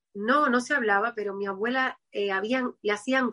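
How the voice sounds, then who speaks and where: This woman has a bright, sharp tone and ordinary pitch variation. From Cuba, Havana. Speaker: medium. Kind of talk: interview.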